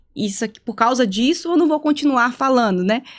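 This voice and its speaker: A woman's high voice, lively in intonation, at a fairly quick pace. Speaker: psychologist. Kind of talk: casual podcast conversation. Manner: halting, not fluid.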